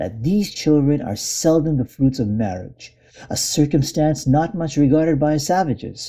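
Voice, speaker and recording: On a very clean recording with a silent background, a man's fairly high voice comes across dark, mellow and somewhat breathy. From India. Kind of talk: classic essay reading.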